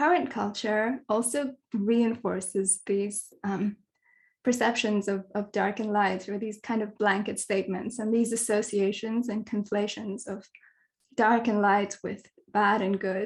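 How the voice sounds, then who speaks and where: A woman talks at a fairly slow pace with fairly even intonation. Her voice is somewhat breathy. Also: fairly high pitch for a woman. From Kenya. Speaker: dark sky advocate, astronomy communicator. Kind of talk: online talk / presentation.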